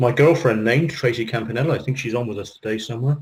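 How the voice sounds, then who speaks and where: A man talks very fast in a British accent, his voice somewhat breathy. His pitch sits in the medium range with ordinary variation. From UK. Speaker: business coach and internet marketer. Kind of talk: interview Q&A.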